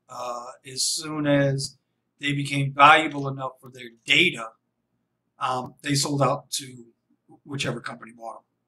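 A man's bright, sharp tone with fairly even intonation. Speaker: rideshare driver vlogger. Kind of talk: casual vlog commentary. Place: home room. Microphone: studio mic.

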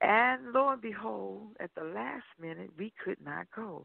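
Speaking fairly slowly, a woman talks with an American accent. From Seattle, raised partly in Alabama/Atlanta. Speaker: gospel singer. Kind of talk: preaching; interview chat. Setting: phone call.

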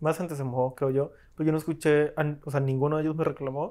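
Over a quiet background, a man with a fairly high-pitched voice speaks with fairly even intonation. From Colombia. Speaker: film editor, film school graduate; podcast guest. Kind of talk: casual chat. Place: home room. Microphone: lapel.

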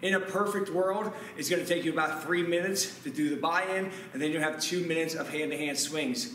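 Over light background noise with audible room echo, a man talks at a very fast pace with a high pitch and ordinary pitch variation. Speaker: fitness coach. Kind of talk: workout instruction. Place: gym.

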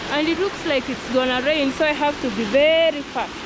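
A woman talks at a moderate pace, the sound dry with no echo. Loud background noise fills the recording. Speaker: vlogger. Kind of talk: casual vlog chat. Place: forest. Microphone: phone near.

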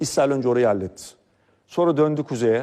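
A man talks in an unremarkable speaking voice with ordinary pitch variation. His pace is fairly quick, and the recording is very clean with a silent background. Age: 40s. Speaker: political commentator. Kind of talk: political commentary monologue.

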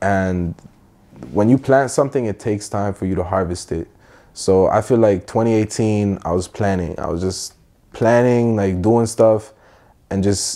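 At a fairly slow pace, a man speaks in a fairly low pitch with a dark, mellow tone against a quiet background. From Middle East, then Toronto from age 14. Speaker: musician; guest. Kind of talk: casual chat. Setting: playing video games during interview. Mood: calm, reflective. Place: home room. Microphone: lapel.

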